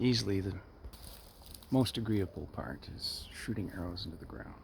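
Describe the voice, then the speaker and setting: Speaking quietly at a moderate pace, a man with a fairly low pitch is heard with audible room echo. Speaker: hobbyist bow maker. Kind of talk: casual vlog. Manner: halting.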